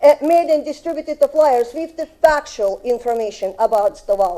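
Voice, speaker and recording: A woman with a Russian accent, high pitch, lively intonation, a dark, mellow tone and a moderate pace. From Russia (Soviet Union). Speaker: resident speaking at public hearing. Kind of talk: public comment at city council. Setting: city council chamber. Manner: halting.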